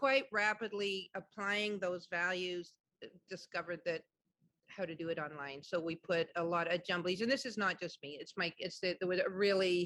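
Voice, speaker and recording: A woman speaks at a moderate pace with a medium pitch and ordinary pitch variation. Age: 60s. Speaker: community arts organization leader. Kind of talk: panel discussion. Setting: video call. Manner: halting.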